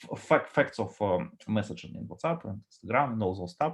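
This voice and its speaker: A man talks at a fairly quick pace in a Russian accent. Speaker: data architect. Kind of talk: conference talk with Q&A. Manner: halting, many fillers.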